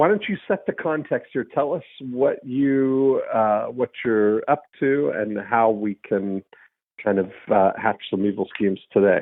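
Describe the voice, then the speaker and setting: An unremarkable speaking voice from a man, medium in pitch, at a fairly slow pace with lively intonation. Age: 50s. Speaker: podcast host. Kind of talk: casual chat. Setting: phone call.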